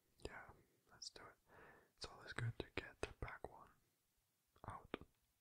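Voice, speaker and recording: Whispering at a moderate pace, a man's voice shows big swings in loudness. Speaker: ASMR creator. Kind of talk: ASMR board game play. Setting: binaural recording. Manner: soft-spoken, whispering. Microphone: studio mic.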